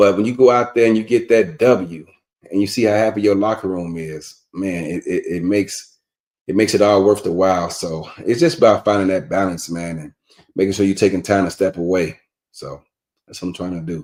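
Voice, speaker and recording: A relaxed man with an American accent, fairly low in pitch, at a fairly quick pace, with ordinary pitch variation and big swings in loudness. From Chicago, South Side. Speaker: team owner and coach in an online football league. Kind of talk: casual interview. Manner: relaxed, conversational with many fillers.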